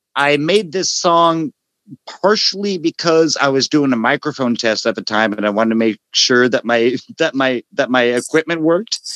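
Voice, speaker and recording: A normal speaking voice from a man, fairly high in pitch, with lively intonation, a moderate pace and a dry, close sound with no echo. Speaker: music fan and musician, interview guest. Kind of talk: casual chat about music.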